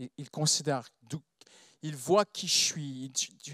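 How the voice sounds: With a non-native accent, a man speaks at a fairly slow pace in a fairly high pitch, his tone bright and sharp and the sound dry and close with no echo. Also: ordinary pitch variation. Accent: non-native French, foreign-accented.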